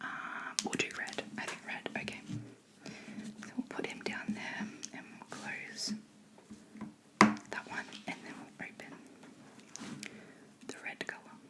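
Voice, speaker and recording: A woman whispers with an Australian accent at a fairly slow pace, leaving long, frequent pauses. Her loudness swings widely, and noticeable background noise is present. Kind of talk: ASMR painting video, casual talk to camera. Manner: whispered.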